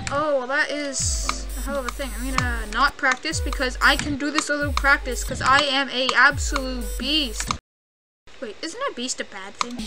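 A woman talks at a moderate speed with music in the background. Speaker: gamer. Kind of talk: casual gameplay commentary. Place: home room.

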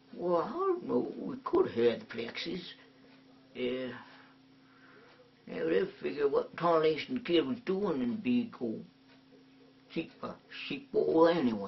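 Putting on a character voice, a man speaks at a high pitch and moderate pace, leaving long, frequent pauses. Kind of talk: comic overacting. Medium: comedy sketch. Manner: drawling, rambling, folksy.

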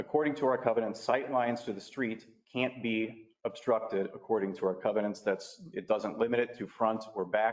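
Fairly quick male speech at medium pitch, with ordinary pitch variation. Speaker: resident speaking at public comment. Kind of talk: public comment at council meeting. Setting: council chamber. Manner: fast.

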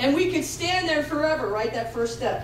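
The woman's voice moves through very wide pitch swings. There is audible room echo and light background noise. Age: 50s. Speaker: pastor. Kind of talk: sermon. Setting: church with congregation. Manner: animated. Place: church.

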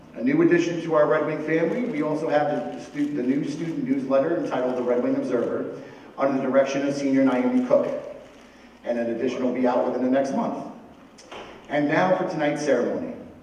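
A man rattles along at a very fast pace with ordinary pitch variation, amid audible room echo and light background noise. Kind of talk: ceremony speech. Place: hall.

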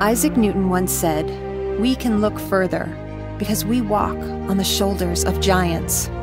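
A woman talks at a fairly slow pace with hardly any pauses. Loud music plays behind her dry, echo-free voice. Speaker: voice actor. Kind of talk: corporate narration. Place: studio. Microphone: studio mic.

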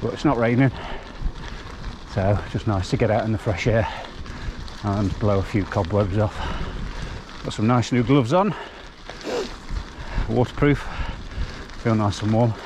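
There is noticeable background noise as a man with a fairly low pitch speaks at a moderate pace with ordinary pitch variation and long, frequent pauses, in a dry sound with no echo. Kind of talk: casual vlog chat. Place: bicycle. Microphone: helmet.

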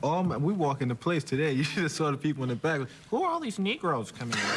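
Talking very fast over noticeable background noise, a man uses ordinary pitch variation. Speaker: talk show guest. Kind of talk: interview answer. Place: stage.

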